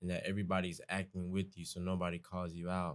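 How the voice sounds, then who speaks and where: A man talks in a very deep, low pitch with monotone, flat intonation. The recording is very clean, with a silent background. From US South, Atlanta. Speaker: college student, guest. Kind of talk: casual conversation.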